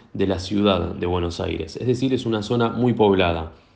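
This man has a dark, mellow tone, ordinary pitch variation and a moderate pace. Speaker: newspaper journalist. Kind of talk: interview. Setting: phone call.

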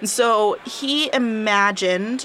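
Over noticeable background noise, a woman talks at a medium pitch with ordinary pitch variation. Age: 20s. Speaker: astrophysicist and podcast co-host. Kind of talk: casual science chat.

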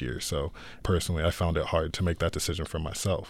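A man with an American accent and vocal fry speaks at a fairly quick pace on a very clean recording with a silent background. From Arizona, US. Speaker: student filmmaker. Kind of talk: radio interview.

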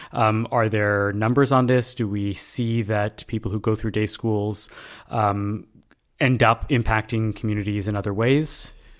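A normal speaking voice from a man at medium pitch and a moderate pace, in a very clean recording with a silent background. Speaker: podcast host. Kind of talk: interview.

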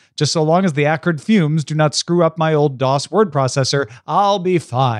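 A man with an unremarkable speaking voice at a fairly high pitch, moderate pace and hardly any pauses, with ordinary pitch variation and very even loudness, in a dry, close sound with no echo against a quiet background. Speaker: podcast host. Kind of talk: casual chat. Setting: remote recording.

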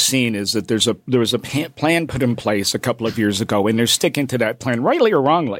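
On a very clean recording with a silent background, a man with a Canadian accent speaks fairly quickly in an ordinary speaking voice with lively intonation. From Canada, Toronto (Scarborough). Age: 60s. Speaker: fill-in sports radio host. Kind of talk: casual sports radio chat. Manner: chatty, repetitive with frequent fillers.

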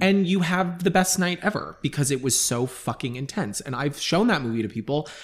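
On a very clean recording with a silent background, a man with an American accent speaks at a fairly high pitch, somewhat breathy. His pace is fairly quick and his intonation lively. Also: hardly any pauses. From Long Island, New York. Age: 30s. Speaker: artist. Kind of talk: casual chat.

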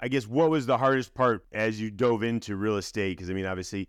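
In a very clean recording with a silent background, a man talks at a fairly quick pace in an ordinary speaking voice, with ordinary pitch variation. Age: 50s. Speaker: podcast host. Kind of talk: interview.

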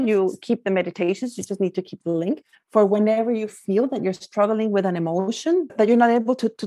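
A woman with a Spanish accent has a dark, mellow tone at a medium pitch, recorded dry and close with no echo against a quiet background. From Guatemala. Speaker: life coach. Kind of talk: interview.

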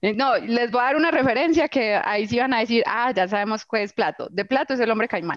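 A woman with a fairly high pitch talks at a fairly quick pace with hardly any pauses. Her loudness stays very even, her pitch varies in an ordinary way, and there is noticeable background noise. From Colombia, Antioquia (Itagüí). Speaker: agritech founder, zootechnician. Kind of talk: personal storytelling interview. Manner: candid, unfiltered.

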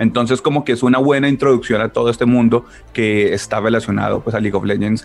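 Ordinary pitch variation at a very fast pace, with noticeable background noise. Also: man. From Colombia, Ibagué. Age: 30s. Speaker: video game company PR manager. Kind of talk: interview.

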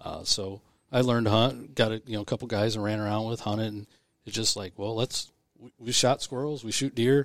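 A man with an unremarkable speaking voice at medium pitch is heard in a very clean recording with a silent background. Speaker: volunteer conservation chapter chairman. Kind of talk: casual interview chat.

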